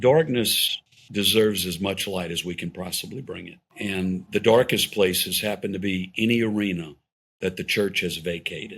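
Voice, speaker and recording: This is a man with a plain, everyday voice at a fairly low pitch. He keeps a moderate pace, with ordinary pitch variation and big swings in loudness. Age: 60s. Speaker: pro-family policy organization leader. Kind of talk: podcast interview conversation.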